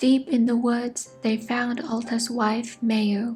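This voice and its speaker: A soft-spoken woman talks very slowly at a fairly high pitch. Her intonation is monotone and flat, with music in the background. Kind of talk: ASMR sleep story.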